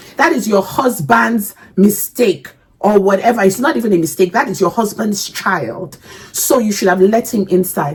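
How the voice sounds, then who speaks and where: A woman's medium-pitched, somewhat breathy voice, animated in tone with lively intonation, at a moderate pace. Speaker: reaction video creator. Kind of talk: casual reaction commentary. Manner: halting.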